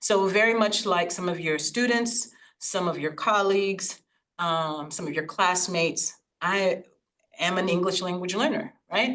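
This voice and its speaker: A woman with a Haitian accent speaks at a fairly slow pace, medium in pitch, with ordinary pitch variation. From Laurel, Maryland, US, with childhood time in Haiti. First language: Haitian Creole. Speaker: invited speaker, educator. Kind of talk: presentation to an audience.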